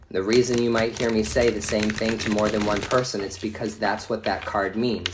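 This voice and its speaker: Speech comes at a moderate pace in a monotone, flat intonation. There is audible room echo and noticeable background noise. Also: man. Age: 40s. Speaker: tarot reader. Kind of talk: live stream reading. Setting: at home. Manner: casual, profane.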